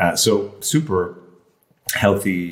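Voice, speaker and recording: A man speaks. He has an Irish accent. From rural Ireland. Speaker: health coach, former airline lawyer. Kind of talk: casual chat.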